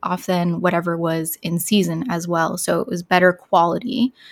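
A woman talks at a fairly slow pace in an unremarkable speaking voice at medium pitch, with a dry, close sound and no echo. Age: 30s. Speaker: beauty content creator. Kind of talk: interview.

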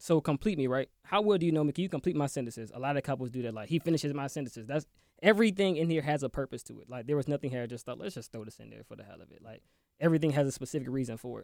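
A man with an American accent talks very fast in a fairly high voice, his loudness swinging widely while his pitch moves in an ordinary way, on a very clean, silent-backed recording that sounds dry and close with no echo. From Maryland. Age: 20s. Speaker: entrepreneur, game creator.

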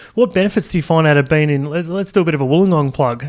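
Talking at a very fast pace, a man uses an Australian accent. His pitch is fairly high, with ordinary pitch variation. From Australia (Sydney). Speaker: podcast host. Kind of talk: interview. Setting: conference venue.

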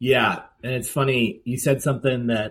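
A normal speaking voice, a man's, at a moderate pace and a medium pitch. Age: 50s. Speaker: sobriety coach. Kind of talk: podcast interview.

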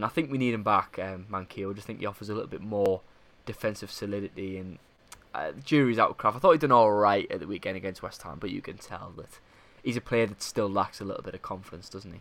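A man talks at a very fast pace and a fairly low pitch, with ordinary pitch variation and big swings in loudness. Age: 20s. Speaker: football podcast host. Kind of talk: casual chat.

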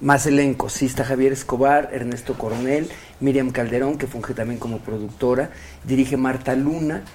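Over noticeable background noise, a man with a Mexican accent speaks at a moderate pace in a medium pitch, his intonation monotone and flat. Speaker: actor. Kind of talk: casual interview.

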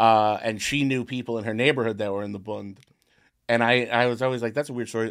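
A plain, everyday voice with fairly even intonation against a quiet background. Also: man. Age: 30s. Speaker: podcast host. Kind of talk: casual chat. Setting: studio.

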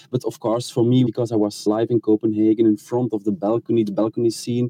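A man's voice with a dark, mellow tone, recorded dry and close with no echo. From Belgium. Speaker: royal journalist. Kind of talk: interview. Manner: hesitant, with filler sounds.

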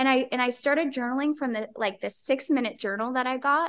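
A woman speaking with fairly even intonation. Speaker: model and actress. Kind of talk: casual interview chat. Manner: soft-spoken.

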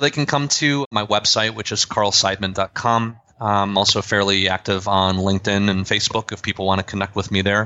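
The speaker uses an ordinary speaking voice at a fairly quick pace, with fairly even intonation and hardly any pauses. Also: man, fairly low pitch for a man. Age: 30s. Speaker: management consultant. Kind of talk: interview.

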